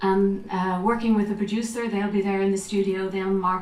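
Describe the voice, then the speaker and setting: Her intonation stays fairly level while noticeable noise fills the background. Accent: Irish. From Ireland. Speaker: actress and voiceover artist; audiobook narrator. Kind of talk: talk to a festival audience.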